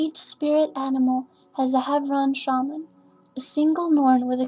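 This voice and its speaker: Music plays in the background as a woman talks at a moderate pace. Her voice is high-pitched and her intonation is monotone and flat. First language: not English. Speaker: gamer. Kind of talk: game lore narration.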